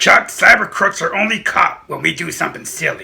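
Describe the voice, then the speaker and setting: A man speaks in a cartoonish character voice. His pace is moderate. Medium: puppet show. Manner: smug, matter-of-fact.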